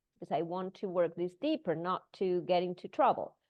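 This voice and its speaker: A woman talks at a moderate pace. She has a non-native accent. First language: not English. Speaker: breathwork teacher. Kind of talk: casual chat.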